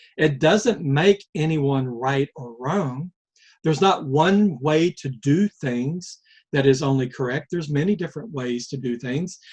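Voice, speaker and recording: A somewhat breathy man's voice, fairly high in pitch, with an American accent, a fairly slow pace, ordinary pitch variation and a dry, close sound with no echo. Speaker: life-lessons vlogger. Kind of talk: reflective monologue. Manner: slow, deliberate pace; halting, with fillers and repeats.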